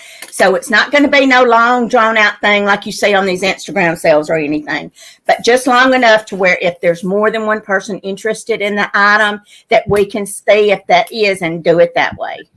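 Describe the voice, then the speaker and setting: In a Louisiana accent, a woman speaks loudly and fairly quickly, her medium-pitched voice bright and sharp with lively intonation. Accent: Southern US (Louisiana). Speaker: live sale host selling vintage items. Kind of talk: live online sale chat.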